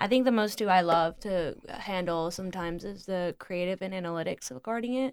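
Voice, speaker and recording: In a very clean recording with a silent background, a woman talks at a moderate pace with medium pitch and ordinary pitch variation. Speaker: freelance marketer. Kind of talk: casual chat.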